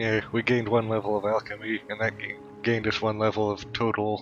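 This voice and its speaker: A man's fairly low voice with fairly even intonation at a moderate pace, with music in the background. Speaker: gaming youtuber. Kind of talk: let's play commentary. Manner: halting, many fillers.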